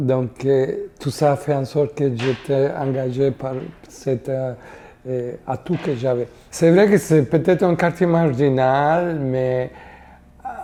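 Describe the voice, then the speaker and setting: A woman's very deep, low voice with a Spanish accent, a dark, mellow tone, ordinary pitch variation and a very slow pace. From Costa Rica. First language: Spanish (speaking French). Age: 60s. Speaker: community worker. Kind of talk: interview testimony. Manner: halting, many hesitations.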